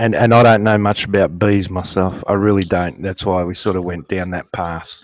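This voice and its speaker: A man's fairly low voice in an Australian accent, with fairly even intonation at a moderate pace. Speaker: guest beekeeper. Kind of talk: casual interview. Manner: halting; soft-spoken. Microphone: too quiet.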